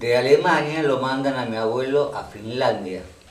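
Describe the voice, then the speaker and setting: Amid noticeable background noise and audible room echo, a man with a medium pitch talks fairly slowly. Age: 60s. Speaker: local elder and former town councillor. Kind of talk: oral history interview. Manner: halting, with repetitions and fillers.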